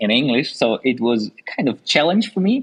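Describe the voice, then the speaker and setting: A man with a Russian accent. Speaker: podcast host. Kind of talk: podcast interview.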